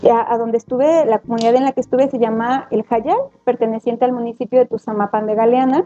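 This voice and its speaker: A woman talks at a high pitch, with ordinary pitch variation. The sound is dry and close with no echo, and music plays in the background. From Mexico, Atlixco, Puebla. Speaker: primary school teacher. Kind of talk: interview conversation.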